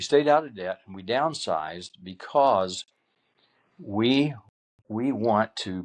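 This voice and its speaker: A man speaking at a very slow pace, with lively intonation. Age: 70s. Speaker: retired pastor and grandparent. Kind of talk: interview. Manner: halting.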